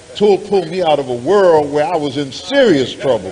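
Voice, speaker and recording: A man with a fairly high pitch talks at a moderate pace amid audible room echo and noticeable background noise. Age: 70s. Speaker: minister. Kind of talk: sermon.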